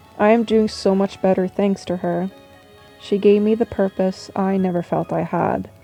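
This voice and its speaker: Music plays in the background as a woman speaks at a moderate pace with a medium pitch. Her intonation is monotone and flat, and the sound is dry and close, with no echo. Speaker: artist and character designer. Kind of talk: casual voice-over for a drawing video. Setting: low-quality home microphone.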